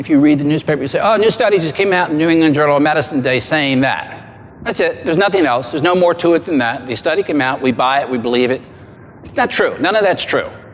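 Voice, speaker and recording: Over noticeable background noise, a man with a fairly high pitch speaks very fast, with ordinary pitch variation. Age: 60s. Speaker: diet and exercise researcher. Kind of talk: seminar talk.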